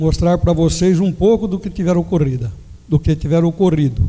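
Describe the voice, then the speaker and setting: A man's voice with ordinary pitch variation. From Jaú, São Paulo state, Brazil. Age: 60s. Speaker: mayoral candidate. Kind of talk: political debate opening statement. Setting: amphitheater debate with audience.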